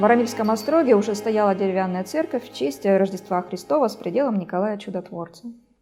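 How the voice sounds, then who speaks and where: Over music in the background, a man with a high pitch speaks at a fairly quick pace with lively intonation. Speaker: documentary narrator. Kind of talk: documentary narration.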